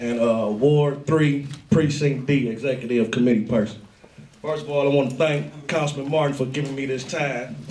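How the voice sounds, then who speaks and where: With an American accent, a man talks at a fairly high pitch and fairly even intonation. Noticeable background noise and audible room echo are present. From East Cleveland, Ohio. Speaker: community activist. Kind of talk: public meeting speech. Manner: loud and fast usually.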